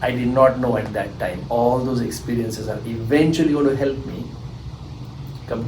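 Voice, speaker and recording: Over noticeable background noise and audible room echo, a man with an Indian accent speaks at a moderate pace in a medium pitch with fairly even intonation. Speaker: SAT tutor. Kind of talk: interview.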